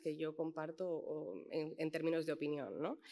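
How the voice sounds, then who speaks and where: A woman speaks at a fairly slow pace. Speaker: editor and panelist. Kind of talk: panel talk. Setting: auditorium with audience. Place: hall. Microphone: podium.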